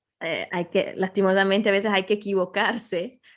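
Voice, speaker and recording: A woman speaks with an Ecuadorian accent. The background is quiet. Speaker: Italian teacher. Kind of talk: podcast interview answer.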